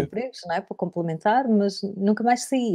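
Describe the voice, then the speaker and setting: A woman's dark, mellow voice at medium pitch with ordinary variation and moderate pace, dry and close with no echo, on a very clean recording with a silent background. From Portugal, Algarve. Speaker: radio broadcaster. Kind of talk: interview answer, personal anecdote. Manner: casual, conversational, lively.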